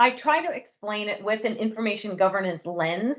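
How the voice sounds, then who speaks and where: An unremarkable speaking voice, a woman with an American accent, fairly high pitch, lively intonation and a moderate pace. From New York. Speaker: company co-founder and CEO. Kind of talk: webinar presentation.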